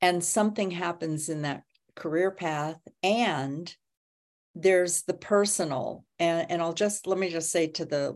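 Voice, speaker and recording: A woman with an ordinary speaking voice talks at a fairly slow pace, her pitch fairly low with ordinary pitch variation. The background is quiet. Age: 60s. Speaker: podcast host. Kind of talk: casual interview, live stream. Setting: Facebook Live stream.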